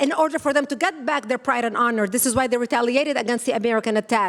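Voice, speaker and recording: A woman talks at a high pitch against noticeable background noise. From Lebanon. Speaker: activist organization founder. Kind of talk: conference speech. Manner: fast.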